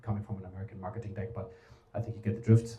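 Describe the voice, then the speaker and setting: Over noticeable background noise, a man with a German accent talks at a medium pitch with ordinary pitch variation. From Germany. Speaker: talent strategy adviser. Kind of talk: conference presentation. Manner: casual, filler-heavy.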